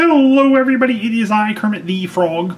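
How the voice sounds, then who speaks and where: A man does a cheerful put-on character voice at a high pitch. He talks at a fairly quick pace over light background noise. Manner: cheerful, puppet-like.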